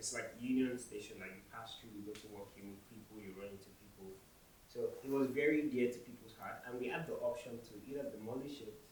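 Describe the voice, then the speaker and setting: With a Nigerian accent, a man speaks at a medium pitch and a fairly quick pace, his loudness swinging widely. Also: ordinary pitch variation. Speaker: intern architect. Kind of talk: conference talk.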